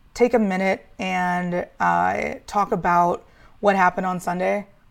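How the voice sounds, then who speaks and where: The recording is very clean, with a silent background. In it, a woman talks at a medium pitch. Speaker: sports podcast host. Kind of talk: casual solo talk show. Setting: home studio with green screen. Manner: pausing often with fillers.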